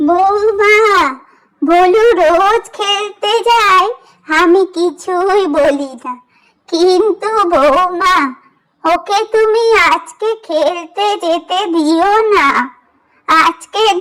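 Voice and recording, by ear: A woman's cartoonish character voice, extremely high in pitch and very slow in pace.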